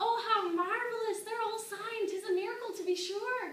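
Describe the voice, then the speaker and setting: A woman puts on a squeaky character voice at an extremely high pitch, monotone and flat. She keeps a moderate pace, with audible echo around her. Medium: stage play. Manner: melodramatic.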